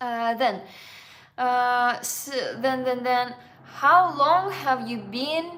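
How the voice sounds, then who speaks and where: With a Russian accent, a woman speaks very slowly at a high pitch with ordinary variation, her bright, sharp tone broken by long, frequent pauses amid audible room echo. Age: 20s. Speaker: travel vlogger. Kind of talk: live Q&A. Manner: halting.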